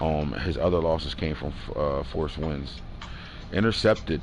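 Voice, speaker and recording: Audible room echo surrounds a man speaking in a very deep, low pitch. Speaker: gaming livestream host. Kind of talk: casual livestream talk recapping game results. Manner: fast.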